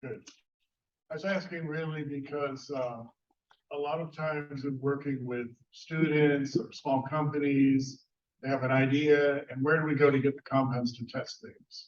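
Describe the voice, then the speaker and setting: Shouting at a moderate pace, a man keeps a fairly high pitch with flat, monotone intonation. His loudness swings widely. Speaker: audience member asking a question. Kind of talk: audience question in Q&A. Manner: loud, shouted without mic. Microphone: no microphone, shouting from the audience.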